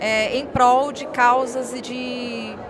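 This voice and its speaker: Fairly even intonation with audible room echo and noticeable background noise. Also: woman. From northern Minas Gerais, Brazil (Montes Claros). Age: 30s. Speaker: social impact entrepreneur. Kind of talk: emotional life-story interview. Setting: event venue at an expo.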